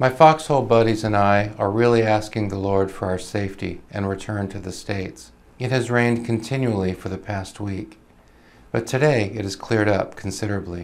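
A man's fairly low voice, a plain, everyday voice, with ordinary pitch variation at a fairly quick pace. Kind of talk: reading aloud of a soldier's wartime letters. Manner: calm, earnest, steady reading; sincere, measured, solemn.

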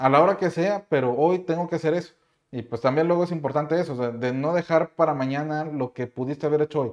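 The background stays quiet. Words come out at a very fast pace. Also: man, fairly high pitch for a man, ordinary pitch variation. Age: 30s. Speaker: YouTuber and CAD instructor; course creator, youtuber. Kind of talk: casual vlog monologue. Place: home room.

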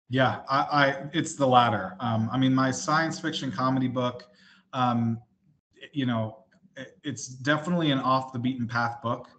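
In an American accent, the speaker keeps a moderate pace and fairly even intonation, with big swings in loudness. The background is quiet. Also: man. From New Jersey, US. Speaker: indie author; guest. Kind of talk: interview. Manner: halting, many fillers and repeats. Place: home room. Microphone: video call.

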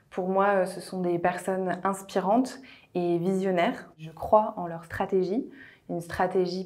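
An ordinary speaking voice at a fairly slow pace, fairly even intonation, and a quiet background. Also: woman. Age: 30s. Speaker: HR director. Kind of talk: corporate recruitment video testimony. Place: office. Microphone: lapel.

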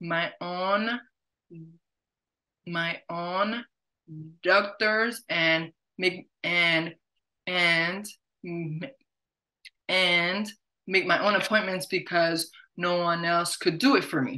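A woman's fairly low-pitched voice with a bright, sharp tone, fairly even intonation, a very slow pace, and long, frequent pauses.

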